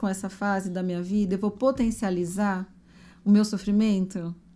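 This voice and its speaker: In a very clean recording with a silent background, a woman talks at a moderate pace in a dark, mellow tone. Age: 50s. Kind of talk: casual podcast conversation.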